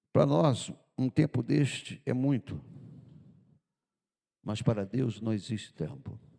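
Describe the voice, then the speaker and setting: Speaking at a very slow pace with long, frequent pauses, a man with a medium pitch, a dark, mellow tone and vocal fry uses lively intonation. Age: 70s. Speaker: pastor. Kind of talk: sermon. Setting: church.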